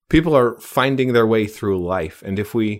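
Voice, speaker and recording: With lively intonation and a fairly quick pace, a plain, everyday voice comes through on a very clean recording with a silent background. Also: man. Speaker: podcast host. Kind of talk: interview.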